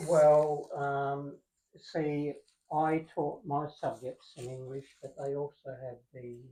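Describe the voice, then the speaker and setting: In an Australian accent, the speaker goes at a very slow pace. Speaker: former university lecturer. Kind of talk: casual conversation. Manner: hesitant, many fillers.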